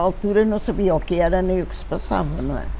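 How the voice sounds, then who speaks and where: Audible room echo surrounds a woman speaking at a moderate pace. Her pitch is medium, with ordinary variation. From Portugal, Lisbon. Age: 90s. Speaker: elderly witness of dictatorship. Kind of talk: testimony. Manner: halting, with many fillers.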